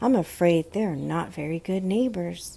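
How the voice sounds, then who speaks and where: A female-sounding put-on character voice at a middle pitch proceeds at a moderate pace. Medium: read story.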